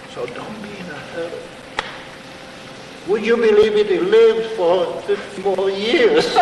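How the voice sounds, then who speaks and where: Audible room echo and noticeable background noise surround a man speaking at a fairly slow pace. His delivery has long, frequent pauses and big swings in loudness. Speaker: priest. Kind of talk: lecture. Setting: stage with audience.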